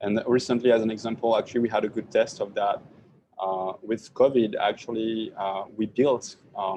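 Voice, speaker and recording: A man with a French accent speaks at a moderate pace, his pitch medium and his intonation fairly even. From France. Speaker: tech startup founder. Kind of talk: tech talk Q&A. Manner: hesitant, many repetitions.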